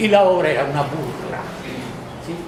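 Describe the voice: A man talks with a fairly high pitch and lively intonation. Audible room echo surrounds his voice. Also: moderate pace.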